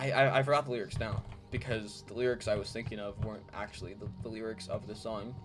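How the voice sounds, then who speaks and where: Music plays behind a man who talks at a medium pitch with fairly even intonation. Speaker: gaming YouTuber. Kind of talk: casual gameplay commentary. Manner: halting, many fillers.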